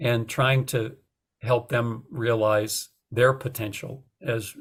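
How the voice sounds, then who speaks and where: A man with a medium pitch and a somewhat breathy voice speaks with fairly even intonation in a very clean recording with a silent background. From North Dakota. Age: 60s. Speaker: retired journalism professor and author. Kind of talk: podcast interview. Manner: hesitant, many fillers.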